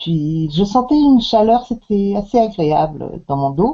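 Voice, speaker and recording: At a very slow pace, a woman speaks with medium pitch and very wide pitch swings. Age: 60s. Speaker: customer giving product testimonial. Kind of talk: testimony. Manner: halting, many hesitations.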